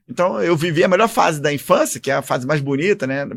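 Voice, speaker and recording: On a very clean recording with a silent background, a man with a fairly high voice talks at a fairly quick pace in a Rio de Janeiro accent. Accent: carioca. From Rio de Janeiro, Brazil. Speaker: army officer and former congressman. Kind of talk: interview.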